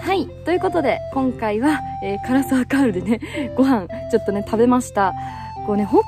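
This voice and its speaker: Over clear background music, a woman talks at a fairly quick pace in a dry sound with no echo. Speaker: hiking vlogger. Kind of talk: casual vlog chat. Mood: cheerful, laughing. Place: open country. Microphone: phone near.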